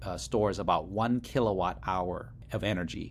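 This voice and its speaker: Speaking with an American accent, a man uses a very deep, low pitch with vocal fry and very wide pitch swings. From Laos, came to US as refugee in early 1980s. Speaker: startup CEO. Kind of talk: interview.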